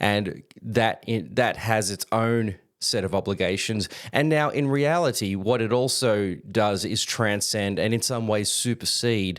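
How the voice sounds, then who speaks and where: With an Australian accent, a man speaks fairly slowly at a medium pitch and with ordinary pitch variation. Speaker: Bible teacher. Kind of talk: lecture. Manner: halting, with fillers.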